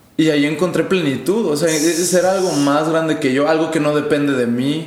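A man's fairly high-pitched voice carries audible room echo, with noticeable background noise around it. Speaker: youth pastor. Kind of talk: casual chat. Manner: animated.

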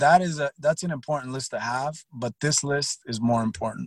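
A man with an ordinary speaking voice talks at a moderate pace with ordinary pitch variation, in a dry, close sound with no echo. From born in Cuba, raised in Texas and Miami. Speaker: sales consultant and former prisoner. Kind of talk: interview conversation. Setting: call.

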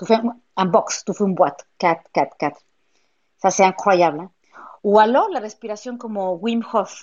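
Speaking fairly slowly at a medium pitch, a woman uses ordinary pitch variation. Her loudness swings widely, and she leaves long, frequent pauses. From Mexico. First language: Spanish (speaking French). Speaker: pilates and yoga studio owner. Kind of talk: interview. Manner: animated; halting.

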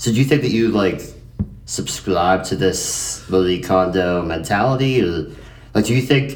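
With noticeable background noise, a man speaks at a very deep, low pitch. His intonation is lively and his pace moderate. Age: 20s. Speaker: podcast host. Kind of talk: casual chat. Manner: animated.

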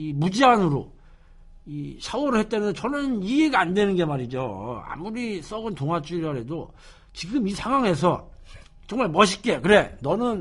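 This is a man with a high voice. His pitch swings very widely. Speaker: radio show host. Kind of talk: casual radio talk. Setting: studio. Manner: casual, conversational.

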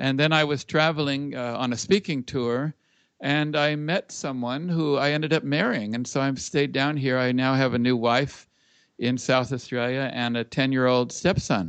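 A man with an American accent speaks at a moderate pace in an unremarkable speaking voice, medium in pitch with ordinary pitch variation. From Los Angeles, US. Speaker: musician and speaker. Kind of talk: casual interview. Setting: Skype call.

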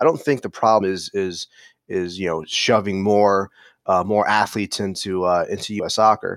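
A man with an American accent has an ordinary speaking voice, fairly low pitch, fairly even intonation and a moderate pace, in a very clean recording with a silent background and a dry, close sound with no echo. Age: 30s. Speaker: fan channel founder. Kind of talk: podcast interview.

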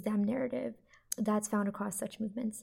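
Somewhat breathy, a woman's fairly high voice carries a dark, mellow tone. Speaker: undergraduate student reporter. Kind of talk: reading research notes.

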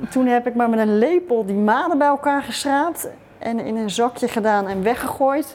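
A woman talks at a fairly slow pace with a high pitch. Her pitch varies in an ordinary way. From Netherlands, Rotterdam. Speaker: writer. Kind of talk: interview.

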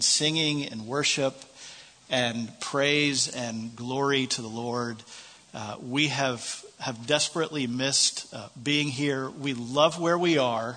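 Delivered at a very slow pace with an American accent, the speech has fairly even intonation. Noticeable background noise and audible room echo fill the recording. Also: man. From United States. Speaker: visiting preacher. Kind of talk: sermon. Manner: halting, many fillers.

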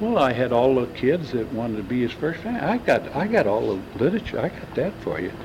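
There is noticeable background noise as a man of medium pitch talks at a fairly quick pace. He barely pauses, and his pitch swings very widely. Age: 70s. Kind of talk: oral history interview.

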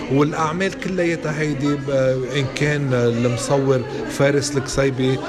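Over noticeable background noise and audible room echo, a man talks at a fairly slow pace and a fairly high pitch, with fairly even intonation and very even loudness. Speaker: exhibition curator. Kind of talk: interview.

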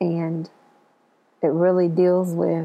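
The speech moves at a very slow pace in a monotone, flat intonation. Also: woman. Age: 40s. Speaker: educator sharing personal story. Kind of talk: personal storytelling monologue.

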